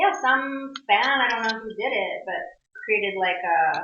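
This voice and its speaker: Her intonation lively and her pitch fairly high, a woman talks amid audible room echo. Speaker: voice actress. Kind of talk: interview. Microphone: pocket recorder, poor audio.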